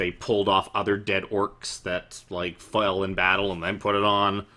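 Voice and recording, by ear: The text is read aloud in a natural voice.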